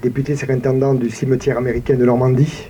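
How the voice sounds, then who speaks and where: Background noise is clearly noticeable. The speaker has a southern French accent. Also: man. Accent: regional southern French. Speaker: town mayor. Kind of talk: commemorative speech. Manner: formal.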